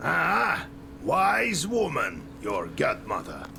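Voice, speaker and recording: A put-on character voice moves at a very slow pace against clear background noise. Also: man. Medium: game stream.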